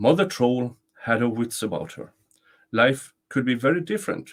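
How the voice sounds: A natural reading voice comes through with a quiet background behind it.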